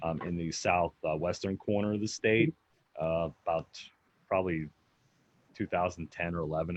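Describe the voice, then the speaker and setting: Very deep and low, a man's voice moves at a moderate pace with an American accent and monotone, flat intonation. Long, frequent pauses break it up, and the sound is dry and close with no echo. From Pennsylvania, US. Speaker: Bigfoot researcher. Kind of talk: interview answers on live stream. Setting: Facebook live video stream.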